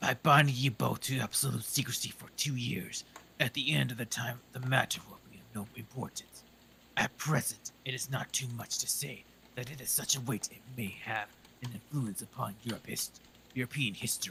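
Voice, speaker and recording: Using a put-on character voice, a man talks at a medium pitch and moderate pace, his intonation fairly even and his loudness swinging widely. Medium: virtual streamer. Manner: formal, haughty.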